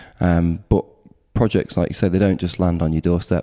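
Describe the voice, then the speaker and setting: A man speaks with an East Midlands accent at a very deep, low pitch and a dark, mellow tone. His fairly quick delivery is monotone and flat, recorded dry and close with no echo. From Nottingham, East Midlands England. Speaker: architect. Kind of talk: casual interview. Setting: architects' office.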